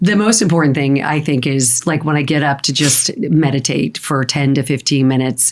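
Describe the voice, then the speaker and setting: A woman with an American accent and a very deep, low pitch talks at a moderate pace with ordinary pitch variation and very even loudness, over noticeable background noise. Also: hardly any pauses. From Arizona. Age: 60s. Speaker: holistic health practitioner. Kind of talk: podcast interview.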